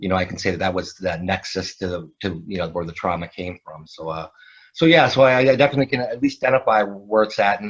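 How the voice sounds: A man speaks quickly in a low voice. His intonation stays fairly even.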